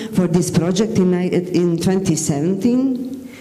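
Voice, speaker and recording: Speech comes at a fairly slow pace with audible room echo. Noticeable background noise is present too. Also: woman. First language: Bosnian. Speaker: teacher. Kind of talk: conference presentation. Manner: halting, with self-corrections.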